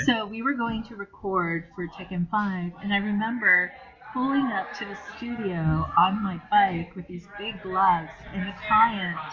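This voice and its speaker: A woman with an American accent talks at a fairly slow pace with ordinary pitch variation and big swings in loudness. Noticeable background noise runs behind her. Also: medium pitch for a woman. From Japan (grew up in Tokyo), lives in US. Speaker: voice actress. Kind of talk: interview answer.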